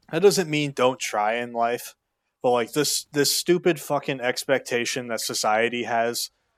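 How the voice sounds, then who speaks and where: At a moderate pace, a man with medium pitch talks with lively intonation, the sound dry and close with no echo. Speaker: YouTuber giving life advice. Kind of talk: unscripted rant to camera. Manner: loud, yelling; animated.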